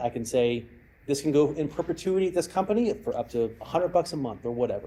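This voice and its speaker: Talking at a very fast pace, a man has a fairly high pitch and lively intonation. His voice is somewhat breathy, with a dark, mellow tone. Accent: American. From Texas. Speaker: cyber security expert and former hostage negotiator. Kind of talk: lecture with audience Q&A.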